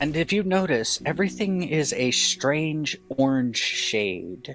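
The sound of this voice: Faint music plays in the background as a man talks with a fairly bright tone and ordinary pitch variation.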